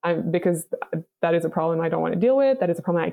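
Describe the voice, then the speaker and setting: A woman with a Quebec accent speaks at a fairly low pitch. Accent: Québécois French accent in English. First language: French. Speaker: color guard performer. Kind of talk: casual interview.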